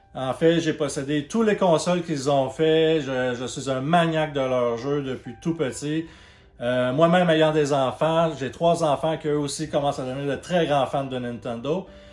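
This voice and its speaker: Amid noticeable background noise, a man with a Quebec accent speaks slowly in a fairly high voice with fairly even intonation. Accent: Québécois French. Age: 30s. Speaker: YouTuber, video game channel host. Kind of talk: channel introduction monologue. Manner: hesitant, many fillers.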